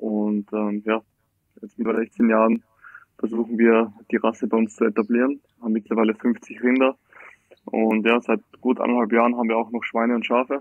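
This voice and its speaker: Monotone, flat intonation at a fairly quick pace. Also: man. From Austria, Styria (Graz). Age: 20s. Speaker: farmer. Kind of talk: casual interview. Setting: remote call from holiday. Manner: hesitant, many fillers.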